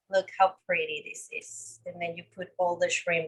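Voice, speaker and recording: A woman speaks with a Spanish accent. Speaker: cooking instructor. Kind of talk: live cooking demonstration.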